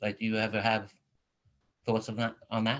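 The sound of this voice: The man's voice has a fairly bright tone.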